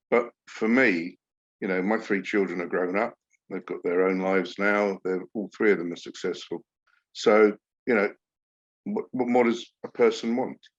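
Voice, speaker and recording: With long, frequent pauses, a man speaks at a moderate pace and a fairly low pitch, with fairly even intonation and a dry, close sound with no echo. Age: 60s. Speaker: podcast host. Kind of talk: casual interview chat.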